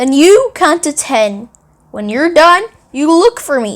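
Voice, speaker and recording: Doing a put-on character voice, a woman speaks fairly slowly in a high pitch with very wide pitch swings. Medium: read story.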